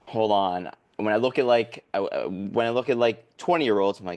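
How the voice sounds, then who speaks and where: Against a quiet background, a man with an American accent and an unremarkable speaking voice talks at a moderate pace with ordinary pitch variation. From US Midwest, Chicago suburbs. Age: 40s. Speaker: business networking consultant. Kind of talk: casual chat.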